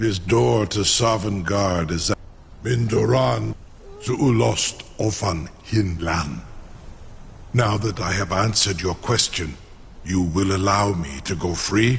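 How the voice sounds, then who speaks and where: Using a put-on character voice that is very deep and low, a man speaks fairly slowly over clear background noise. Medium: video game. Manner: formal, archaic, mixes dragon-language words.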